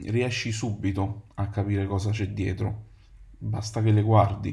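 Man's somewhat breathy, fairly low voice with a dark, mellow tone, at a fairly slow pace amid audible room echo. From Naples, Italy. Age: 30s. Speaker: podcast host, advertising copywriter. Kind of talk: solo podcast monologue.

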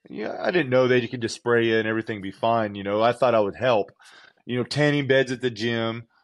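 Someone with an American accent speaks very fast with fairly even intonation. The background is quiet. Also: man, medium pitch for a man. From Southern California. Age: 40s. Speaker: professional natural bodybuilder and coach. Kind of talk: casual interview.

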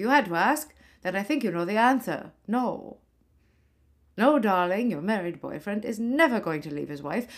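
A woman at medium pitch delivers an animated, theatrical performance with very wide pitch swings at a moderate pace, captured in a very clean recording over a silent background. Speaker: comedy podcast host playing a ghost of a 1940s film actress. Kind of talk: comic monologue in character as a 1940s movie star, performed with old-Hollywood flair. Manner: animated, campy, theatrical, arch and breezy, lots of 'darlings'; mock-glamorous with mid-Atlantic style delivery and comic asides.

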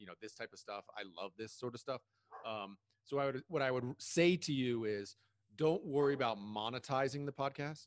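An unremarkable speaking voice, this man's medium pitch and moderate pace come with ordinary pitch variation and big swings in loudness, recorded dry and close with no echo. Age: 40s. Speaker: podcast host. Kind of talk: casual interview.

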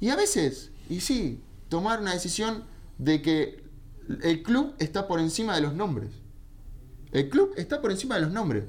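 The speaker moves at a fairly slow pace, leaving long, frequent pauses. The tone is animated, with very wide pitch swings. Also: man, high pitch for a man. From Argentina. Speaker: football radio show host and analyst. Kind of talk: casual sports talk radio. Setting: radio studio, live.

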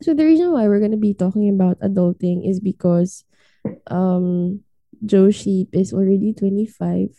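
A woman speaks at medium pitch and a moderate pace in a somewhat breathy voice with a dark, mellow tone, ordinary pitch variation and very even loudness, the sound dry and close with no echo. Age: 20s. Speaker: podcast co-host. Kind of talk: casual chat.

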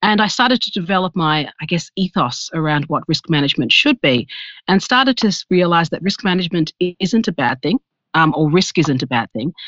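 A fairly quick pace in an Australian accent, against a quiet background. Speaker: risk management executive. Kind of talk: interview.

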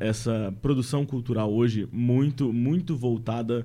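Ordinary pitch variation runs through a man's medium-pitched voice. He talks at a fairly slow pace. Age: 20s. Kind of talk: casual podcast conversation. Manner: hesitant, with many fillers.

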